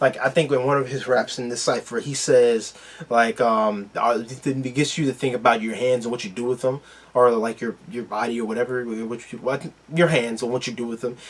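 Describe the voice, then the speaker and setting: A man at a medium pitch, with a moderate pace and fairly even intonation. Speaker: YouTube reaction video host. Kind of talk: casual reaction commentary. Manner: halting, many fillers.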